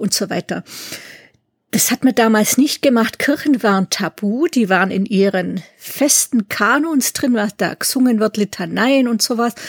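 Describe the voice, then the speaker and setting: A woman speaks in a normal speaking voice at a fairly high pitch. The sound is dry and close, with no echo. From Swabia, southern Germany (near Ulm). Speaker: musicologist and doctoral researcher. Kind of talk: interview.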